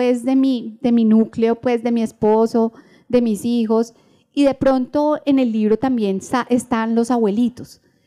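Dark and mellow in tone, a woman's fairly high voice moves at a fairly slow pace, with very even loudness and fairly even intonation. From Colombia, Bogotá. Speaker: novelist. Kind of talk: live interview before audience. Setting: stage with audience at book fair. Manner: halting, many fillers and repetitions.

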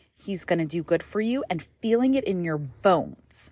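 A woman's plain, everyday voice at medium pitch, moderate in pace, with lively intonation. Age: 30s. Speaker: religious podcast host. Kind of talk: casual monologue. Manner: casual, with fillers and restarts.

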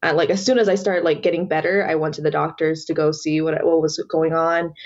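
A woman with an American accent and a fairly low pitch uses a normal speaking voice with fairly even intonation. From US South, Georgia. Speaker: college activist. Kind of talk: casual interview.

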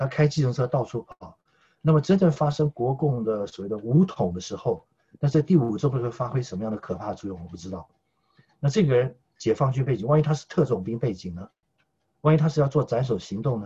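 A man's medium-pitched, dark, mellow voice, somewhat breathy, at a fairly quick pace, with lively intonation and big swings in loudness. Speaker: political commentator. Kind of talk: casual chat. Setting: remote call.

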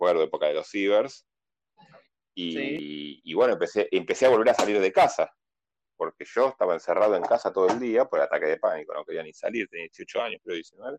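Recorded dry and close with no echo, a man talks at a fairly quick pace with big swings in loudness. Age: 40s. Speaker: board game enthusiast. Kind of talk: casual chat.

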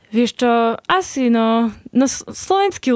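The sound is dry and close, without any echo. A woman talks with ordinary pitch variation. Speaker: nun. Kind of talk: casual interview. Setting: studio.

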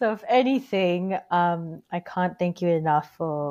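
A woman speaks in an Australian accent with a fairly low pitch. Her tone is dark and mellow, and the background is quiet. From Sydney, Australia, Filipino parents. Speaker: podcast host. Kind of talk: interview; scripted narration.

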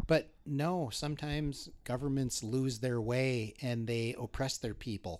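With an Upper Midwest accent, the speaker comes through on a very clean recording against a silent background. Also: man. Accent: Upper Midwest American. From North Dakota, Bismarck. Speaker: criminal defense attorney. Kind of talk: interview conversation.

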